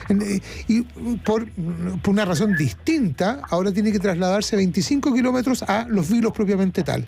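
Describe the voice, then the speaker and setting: A high-pitched male voice at a moderate pace over background music. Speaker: radio host. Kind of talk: radio interview. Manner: halting, many fillers.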